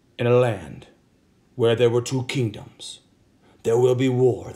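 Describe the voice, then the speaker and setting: Using a put-on character voice, a man speaks at a fairly slow pace with medium pitch. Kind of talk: dramatic.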